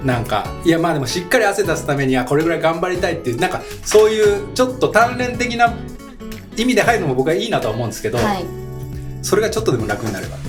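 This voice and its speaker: Over music in the background, a man with a high-pitched voice talks at a very fast pace, his pitch swinging very widely. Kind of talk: casual radio talk.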